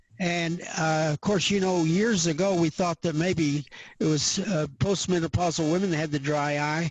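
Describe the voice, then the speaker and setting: At a moderate pace, this speaker talks with an American accent, very even loudness and fairly even intonation. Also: man, high pitch for a man. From US Southwest, New Mexico. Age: 80s+. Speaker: eye doctor. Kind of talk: interview.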